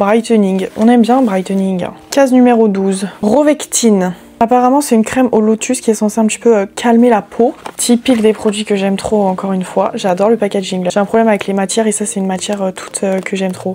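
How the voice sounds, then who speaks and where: Against noticeable background noise, a woman speaks at a fairly quick pace in a fairly high pitch. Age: 20s. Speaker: beauty YouTuber. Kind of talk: product unboxing review. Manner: casual, many hesitations; animated.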